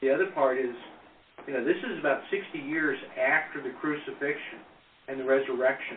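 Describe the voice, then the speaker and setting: A man's fairly high-pitched voice with fairly even intonation over noticeable background noise. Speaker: Bible study participant. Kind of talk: group Bible discussion.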